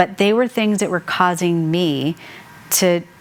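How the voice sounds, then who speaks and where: Noticeable background noise sits behind a woman speaking in an American accent. Her pitch is fairly low, with ordinary variation. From Colorado, US (Mexican American). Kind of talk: devotional teaching with personal testimony. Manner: conversational, with fillers.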